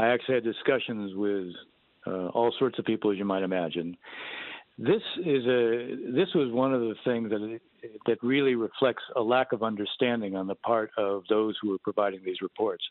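At a fairly quick pace, a man with a medium pitch and ordinary pitch variation speaks in a normal speaking voice. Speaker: Middle East policy expert. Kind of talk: interview.

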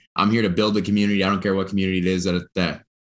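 This man speaks in a very deep, low pitch with monotone, flat intonation. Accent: American. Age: 20s. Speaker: startup worker. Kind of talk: interview.

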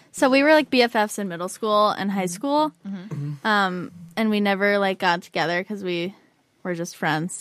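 A plain, everyday voice from a woman at medium pitch, with lively intonation and a moderate pace, on a very clean recording over a silent background. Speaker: podcast co-host. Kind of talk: casual chat.

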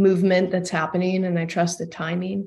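With an American accent, a woman speaks at a medium pitch in a monotone, flat way. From Texas, Austin. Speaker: breathwork facilitator and addiction counselor. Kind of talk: interview conversation.

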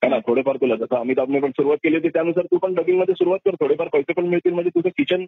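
This man has a high pitch and ordinary pitch variation. His loudness stays very even. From Mumbai, Maharashtra. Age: 40s. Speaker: dubbing artist. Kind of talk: interview.

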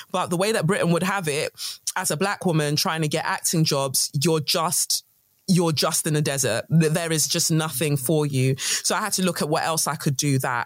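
A woman's very deep, low voice in a London accent, fairly quick, with ordinary pitch variation. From London, England (born in Nigeria). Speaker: guest, creative entrepreneur. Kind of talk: casual chat. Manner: articulate.

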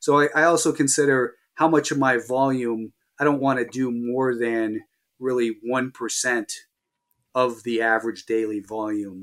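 An unremarkable speaking voice with fairly even intonation moves at a moderate pace over a very clean recording with a silent background. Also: man, medium pitch for a man. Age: 50s. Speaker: professional stock trader. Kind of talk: interview.

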